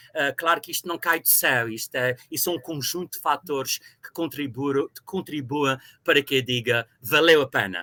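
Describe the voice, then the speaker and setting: The voice has a bright, sharp tone, a dry, close sound with no echo, and ordinary pitch variation. It moves at a moderate pace with hardly any pauses and big swings in loudness. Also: man, fairly high pitch for a man. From Azores, Ribeira Grande (São Miguel). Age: 60s. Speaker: university professor. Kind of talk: interview. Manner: hesitant with fillers.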